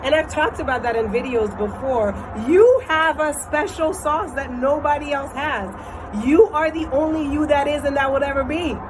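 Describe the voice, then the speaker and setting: A loud woman's voice, high in pitch with ordinary variation, at a moderate pace amid noticeable background noise. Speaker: vlogger. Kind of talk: casual vlog monologue. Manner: hesitant fillers.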